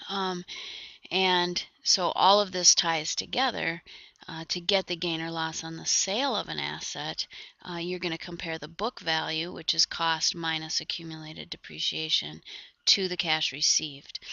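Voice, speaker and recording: With vocal fry and fairly even intonation, a woman speaks at a fairly low pitch while her loudness swings widely. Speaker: accounting instructor. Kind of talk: lecture. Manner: fast; hesitant, many fillers.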